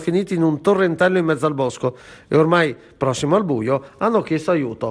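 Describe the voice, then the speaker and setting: The speaker uses lively intonation at a fairly quick pace. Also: man. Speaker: regional news anchor. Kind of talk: news reading.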